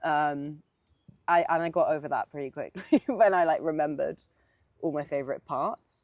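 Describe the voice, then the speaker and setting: A woman with a London accent speaks at a moderate pace with a fairly low pitch and ordinary pitch variation. The sound is dry and close with no echo, over a quiet background. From South East London. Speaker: singer-songwriter. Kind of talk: casual interview. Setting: outdoors.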